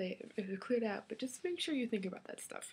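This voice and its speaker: A somewhat breathy female voice. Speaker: college student vlogger. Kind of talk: casual vlog. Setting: alone in a room talking to computer. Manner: fast when excited.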